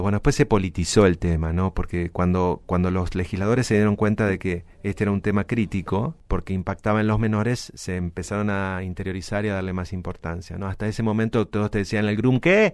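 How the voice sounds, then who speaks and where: A man's normal speaking voice, ordinary pitch variation, hardly any pauses. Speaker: lawyer specializing in data protection and IT law. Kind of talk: podcast interview.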